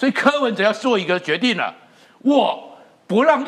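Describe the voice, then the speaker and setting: A man speaks at a moderate pace with an extremely high pitch and lively intonation over noticeable background noise. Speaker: veteran journalist. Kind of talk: political talk show discussion.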